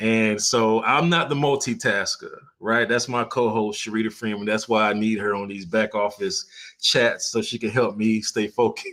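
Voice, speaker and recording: A man's moderate-paced speech, medium in pitch, with fairly even intonation and a normal speaking voice. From Florida. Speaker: photographer and live streamer. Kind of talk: casual live stream chat. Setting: live stream with screen sharing. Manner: relaxed, conversational with fillers.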